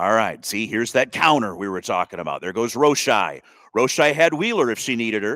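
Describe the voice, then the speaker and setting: Lively intonation and a bright, sharp tone mark this man's fairly quick speech. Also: medium pitch for a man. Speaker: play-by-play sports commentator. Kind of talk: live commentary. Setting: press box at a school soccer game.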